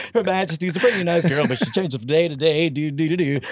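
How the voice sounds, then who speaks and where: A high-pitched man talking at a very fast pace amid noticeable background noise. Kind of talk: casual banter. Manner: animated, joking.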